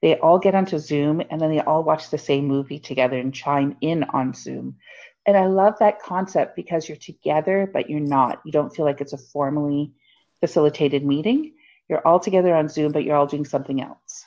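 Against a quiet background, a woman with an Ontario accent speaks fairly quickly in a very deep, low voice with ordinary pitch variation. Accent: Canadian (Ontario). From Hamilton, Ontario, Canada. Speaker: podcast co-host, small business coach. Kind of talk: casual chat.

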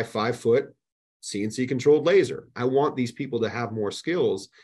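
A man with an American accent speaks in a normal speaking voice at medium pitch and a moderate pace. His pitch varies in an ordinary way against a quiet background. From New Jersey. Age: 40s. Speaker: business owner. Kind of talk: casual chat.

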